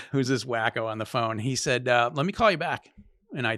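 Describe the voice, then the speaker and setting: A Maine accent at a fairly quick pace, dry and close with no echo. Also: man. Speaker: real estate agent. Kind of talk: podcast interview, storytelling.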